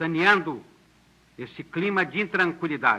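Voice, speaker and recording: Speaking very slowly, a man with a high-pitched voice uses a solemn, bright and sharp tone with ordinary pitch variation. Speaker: government minister of justice. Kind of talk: formal political address on national radio and television. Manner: solemn, measured, formal.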